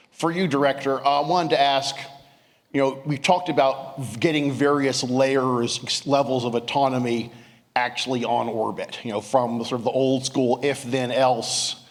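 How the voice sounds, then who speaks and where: Noticeable background noise runs behind a man's voice. He speaks at a moderate pace and medium pitch, with fairly even intonation. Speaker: defense journalist asking a question. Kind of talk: audience question. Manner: loud.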